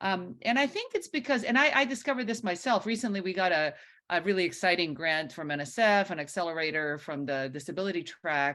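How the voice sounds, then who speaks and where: Loud and very fast with hardly any pauses, a woman speaks with a bright, sharp tone, fairly low pitch and very wide pitch swings. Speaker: professor. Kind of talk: lecture. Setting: video call.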